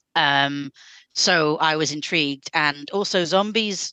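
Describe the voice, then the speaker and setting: Over a quiet background with a dry, close sound and no echo, a woman in a British accent speaks at a fairly slow pace with a very deep, low pitch, a bright, sharp tone and ordinary pitch variation. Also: very even loudness. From United Kingdom. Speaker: podcast guest panelist. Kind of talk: casual chat. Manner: hesitant, many fillers.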